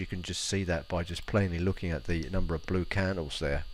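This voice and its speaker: A man with a very deep, low voice speaks at a very fast pace. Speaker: forex market analyst. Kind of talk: tutorial. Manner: halting, many fillers.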